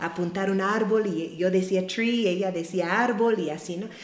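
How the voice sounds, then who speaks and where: A woman with a medium-pitched voice is heard with audible room echo and noticeable background noise. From US Midwest (Ohio). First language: English (speaking Spanish). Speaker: missionary. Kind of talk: testimony.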